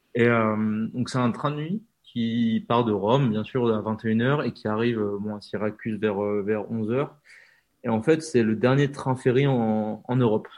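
Speaking fairly slowly, a man keeps his pitch medium. His intonation stays fairly even. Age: 20s. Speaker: train YouTuber and author. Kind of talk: interview. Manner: halting.

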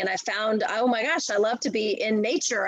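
Noticeable background noise runs under the voice. The speaker has an American accent, a moderate pace and ordinary pitch variation. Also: woman. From US, Washington D.C. area. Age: 40s. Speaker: triathlete and nonprofit director. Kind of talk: casual interview.

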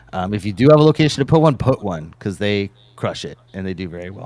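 At a fairly quick pace, a man speaks in a plain, everyday voice with a fairly low pitch, captured in a very clean recording with a silent background. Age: 40s. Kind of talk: casual livestream Q&A.

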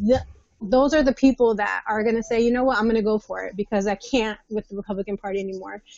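A woman speaks very fast in an American accent, her fairly high pitch held to a fairly even intonation. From New Jersey. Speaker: marriage and family therapist. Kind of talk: panel discussion.

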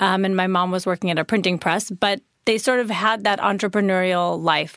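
Recorded very clean with a silent background, a woman with an American accent has an ordinary speaking voice, medium in pitch, at a moderate pace with fairly even intonation. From US Midwest, Chicago suburbs. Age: 30s. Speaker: skincare brand founder. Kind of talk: interview.

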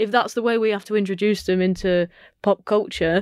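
In a dry, close recording with no echo, a woman with an ordinary speaking voice talks at a moderate pace, her pitch medium and her intonation fairly even. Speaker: comedian. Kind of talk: casual chat. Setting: studio.

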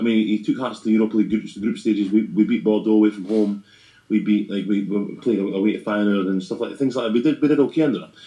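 A man talks at a very fast pace with a dark, mellow tone. His pitch is fairly low, with ordinary pitch variation. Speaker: football podcast host. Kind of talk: casual chat about football. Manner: fast talker.

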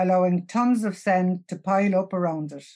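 A woman with a Cork accent speaks at a moderate pace and medium pitch in a dark, mellow tone against a quiet background. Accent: Cork Irish. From Youghal, County Cork, Ireland. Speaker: older local resident. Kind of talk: reading aloud a prepared essay.

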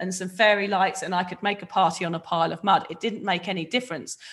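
A woman with a southern English accent, mid-range in pitch, with ordinary pitch variation. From southern England, near Reading. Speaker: author and podcast host, recovering drinker. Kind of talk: personal testimony in interview.

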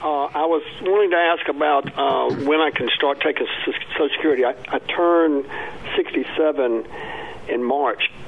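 A man speaking at a fairly slow pace, fairly even intonation, long and frequent pauses, noticeable background noise. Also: fairly high pitch for a man. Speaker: caller. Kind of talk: call-in question. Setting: phone call.

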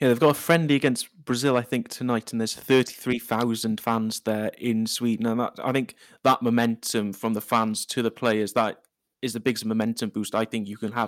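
At a moderate pace, this monotone, flat voice comes in a Welsh accent, recorded very cleanly against a silent background with a dry, close sound and no echo. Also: man. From Wales. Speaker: football podcast contributor. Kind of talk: casual chat.

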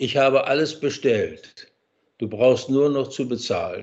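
A man's medium-pitched voice at a very slow pace. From West Prussia, Germany. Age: 80s+. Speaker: retired general. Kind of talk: interview.

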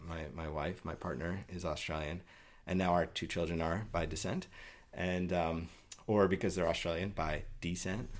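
A man speaks in a New York accent with a very deep, low pitch. His pace is moderate and his intonation fairly even. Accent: New York American. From US, New York City. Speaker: patient advocate. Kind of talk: interview. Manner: halting, many fillers and repetitions.

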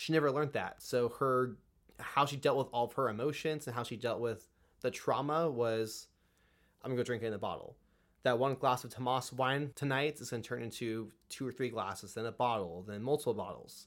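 A man with an American accent and a normal speaking voice talks at a fairly quick pace and medium pitch with ordinary pitch variation, in a very clean recording with a silent background. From California. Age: 20s. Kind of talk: casual chat.

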